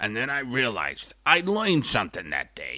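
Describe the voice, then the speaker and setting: The speaker uses a put-on character voice with a raspy quality. The pace is moderate. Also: man. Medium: comedy sketch. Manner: rambling, folksy.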